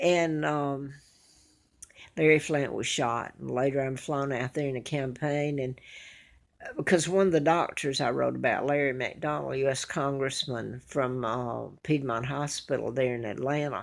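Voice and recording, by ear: Speaking in an Alabama accent at a fairly slow pace, a woman with an extremely low pitch and vocal fry shows ordinary pitch variation. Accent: Southern US, Alabama.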